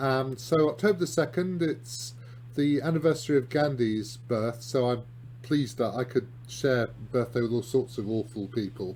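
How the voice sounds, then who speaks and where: With a British accent, a man speaks at a moderate pace in a somewhat breathy, medium-pitched voice with ordinary pitch variation. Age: 60s. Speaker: chess columnist and grandmaster. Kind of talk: video lesson on chess games. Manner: hesitant, lots of ums and restarts.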